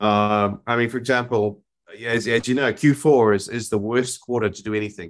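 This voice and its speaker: Someone talks at a fairly quick pace in a New Zealand accent. The recording is very clean, with a silent background. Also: man. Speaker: marketing agency CEO. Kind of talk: interview.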